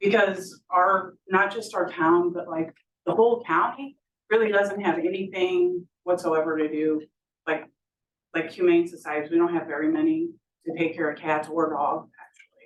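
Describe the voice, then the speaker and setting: Speaking at a moderate pace, a woman uses fairly low pitch and fairly even intonation. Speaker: resident speaking at public comment. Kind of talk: public comment at city council meeting. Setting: city council meeting. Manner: loud; hesitant, many fillers.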